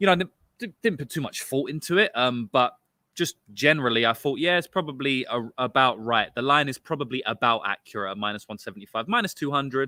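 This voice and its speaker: A man's medium-pitched voice with a London accent, lively intonation and a fairly quick pace, with hardly any pauses. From London, England. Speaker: sports betting podcast host. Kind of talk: casual podcast analysis. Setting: outdoors.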